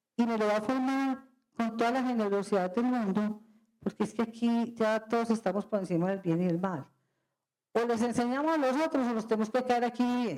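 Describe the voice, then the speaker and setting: A woman's normal speaking voice, fairly high in pitch, with ordinary pitch variation, very even loudness and a fairly quick pace. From Colombia, Medellín. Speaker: company president. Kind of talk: guest lecture.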